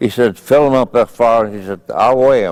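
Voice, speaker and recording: Heard in a dry, close sound with no echo, the speaker has a Midwestern US accent and ordinary pitch variation. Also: man. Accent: US Midwest. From Indiana, Fort Wayne. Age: 90s. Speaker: war veteran. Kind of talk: interview.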